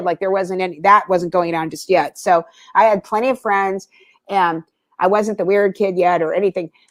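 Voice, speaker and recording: A woman talks at a fairly quick pace, recorded with a dry, close sound and no echo. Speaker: death metal vocalist. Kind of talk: casual chat.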